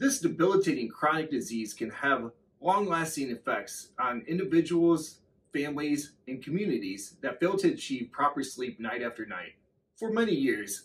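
With vocal fry and very wide pitch swings, a man talks at a moderate pace. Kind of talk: promotional address to camera. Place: office.

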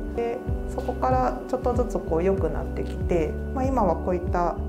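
With clear music in the background, a woman is talking. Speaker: speech therapist. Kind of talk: interview answer. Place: office. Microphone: lapel.

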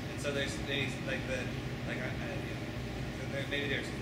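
A man speaks at a moderate pace amid loud background noise and audible room echo. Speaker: engineering professor. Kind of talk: panel discussion. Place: hall. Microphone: camera far.

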